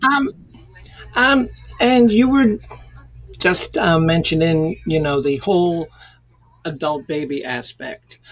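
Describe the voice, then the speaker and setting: The speech is very slow, with long, frequent pauses, very wide pitch swings, and noticeable background noise. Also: woman, fairly low pitch for a woman. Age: 60s. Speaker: panel guest. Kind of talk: casual chat. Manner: halting. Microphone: poor audio.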